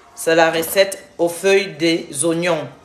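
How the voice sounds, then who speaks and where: A woman speaks at a very slow pace with a fairly low pitch. Audible room echo and noticeable background noise surround her voice. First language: not French (speaking French). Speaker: health and weight-loss vlogger. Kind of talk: cooking tutorial livestream. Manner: casual, halting.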